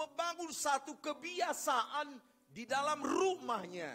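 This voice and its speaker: A man with a strong Batak accent projects a raised voice at an extremely high pitch, with lively intonation and a very slow pace. Music plays in the background. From North Sumatra, Batak region (Porsea). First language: Batak (speaking Indonesian). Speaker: pastor. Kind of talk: sermon. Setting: church.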